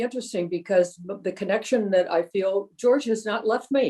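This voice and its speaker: A woman's lively, fairly high voice with a dark, mellow tone and an American accent. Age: 90s. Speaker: interview guest. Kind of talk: casual chat. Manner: halting.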